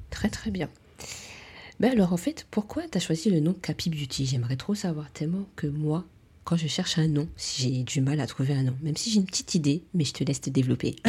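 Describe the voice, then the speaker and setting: This woman talks at a fairly quick pace in a very deep, low pitch, with a dark, mellow tone and a somewhat breathy quality. Her intonation is lively, and the recording is very clean with a silent background. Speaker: beauty podcast host, beautician. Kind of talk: casual interview chat.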